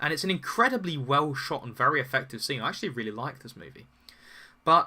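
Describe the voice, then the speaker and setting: With a British accent, a man speaks at a fairly high pitch, his tone bright and sharp and his intonation lively, on a very clean recording with a silent background. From UK. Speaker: political commentary streamer. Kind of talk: live stream talk answering chat. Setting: live stream with chat. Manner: halting, with repeated words.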